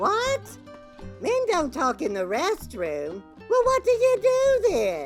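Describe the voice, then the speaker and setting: Using a put-on character voice with an extremely high pitch, a woman speaks at a fairly slow pace while faint music plays in the background. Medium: audio drama. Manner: prim, easily shocked.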